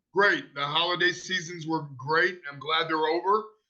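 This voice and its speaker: Here a man speaks with an American accent and a bright, sharp tone. His intonation is fairly even and his pace moderate. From Ohio. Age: 50s. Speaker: stuntman and former wrestler. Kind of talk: casual interview.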